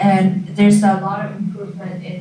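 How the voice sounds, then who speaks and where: There is light background noise behind the voice. Room echo is audible. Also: woman. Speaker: graduate student presenter; presenter. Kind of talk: informational presentation. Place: classroom. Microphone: camera far.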